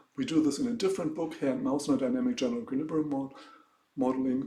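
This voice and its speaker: A man speaks in a fairly high voice with a German accent. His pitch swings very widely, and the room echo is audible. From Germany. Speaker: economics professor. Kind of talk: lecture. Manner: halting.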